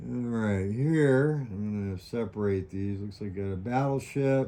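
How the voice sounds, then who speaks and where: A man talks at a fairly slow pace in a fairly low pitch, with ordinary pitch variation. He has an ordinary speaking voice. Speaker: board wargame video maker. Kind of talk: tutorial.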